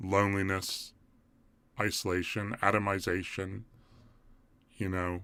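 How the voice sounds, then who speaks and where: A man with a very deep, low pitch speaks at a fairly slow pace in an English accent, on a very clean recording with a silent background. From England. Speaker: community group organizer, live streamer. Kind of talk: live stream commentary. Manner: halting.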